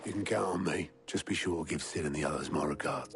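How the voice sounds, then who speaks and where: In a put-on character voice, a man speaks very fast with a very deep, low pitch, a raspy, gruff sound, very even loudness and ordinary pitch variation, over clear background noise. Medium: video game. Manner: blunt, gruff.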